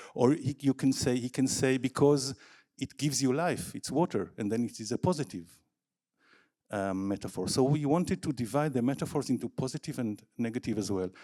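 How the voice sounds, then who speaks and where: In a very clean recording with a silent background, a man speaks at a medium pitch in a dark, mellow tone with lively intonation. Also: fairly quick pace. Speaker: academic researcher. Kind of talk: conference presentation.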